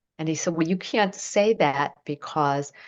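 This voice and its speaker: A woman's fairly low pitch with ordinary pitch variation. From United States. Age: 60s. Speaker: acupuncture teacher. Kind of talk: interview chat. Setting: podcast.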